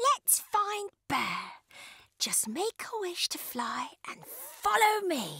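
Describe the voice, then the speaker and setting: In a put-on character voice, a squeaky speaker moves at a very slow pace with very wide pitch swings. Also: woman, extremely high pitch for a woman. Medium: read story.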